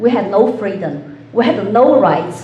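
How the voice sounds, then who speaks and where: A woman with a Chinese accent speaks at a fairly slow pace. Audible room echo and noticeable background noise come through. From China. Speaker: political candidate. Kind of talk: debate opening statement.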